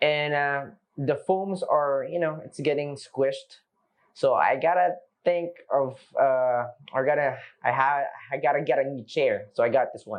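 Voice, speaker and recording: A man's fairly high voice with a Filipino accent, broken by long, frequent pauses. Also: ordinary pitch variation. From Philippines, Manila. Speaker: product review vlogger. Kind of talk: casual product review. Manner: unscripted, with frequent fillers and restarts.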